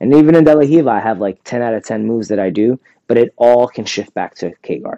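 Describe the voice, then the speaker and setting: A man with an American accent speaks in a dark, mellow tone, his sound dry and close with no echo. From New York City (Bronx). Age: 30s. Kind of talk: interview.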